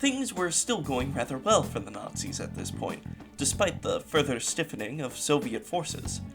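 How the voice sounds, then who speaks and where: Music plays in the background. The speaker's pitch swings very widely at a moderate pace. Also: man. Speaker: history video narrator. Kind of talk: history narration with humorous asides.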